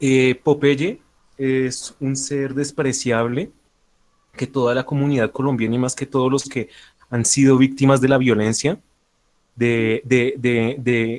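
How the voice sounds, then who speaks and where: Speaking at a fairly slow pace, a man holds a monotone, flat intonation. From Colombia. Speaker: anonymous debate opponent. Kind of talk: heated debate. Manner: halting; formal.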